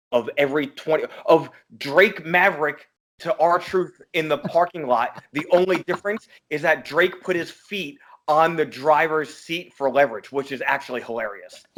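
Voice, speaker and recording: A man talks in a normal speaking voice at a fairly slow pace. His pitch is fairly high, with ordinary variation. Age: 30s. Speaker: wrestling podcast host. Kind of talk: casual chat.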